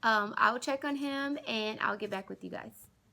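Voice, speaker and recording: A woman's raised, projected voice with a bright, sharp tone, lively intonation and a moderate pace, on a very clean recording with a silent background. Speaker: teacher vlogger. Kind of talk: casual vlog.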